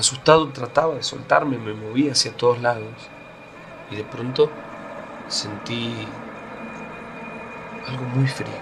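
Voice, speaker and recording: Over noticeable background noise, a man with a medium pitch speaks at a fairly slow pace with long, frequent pauses. His intonation stays fairly even while his loudness swings widely. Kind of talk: first-person paranormal story told on radio.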